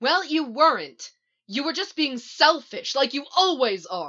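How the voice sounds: Someone puts on a character voice with a bright, sharp tone. The pace is fairly slow, and the pitch swings widely. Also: woman, high pitch for a woman.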